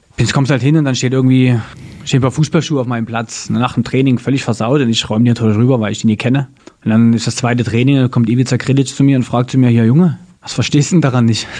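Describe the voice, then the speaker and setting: Amid noticeable background noise, a man speaks very fast at medium pitch with fairly even intonation. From Dresden, Saxony, Germany. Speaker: former goalkeeper turned entrepreneur. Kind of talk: interview conversation. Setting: at his company office.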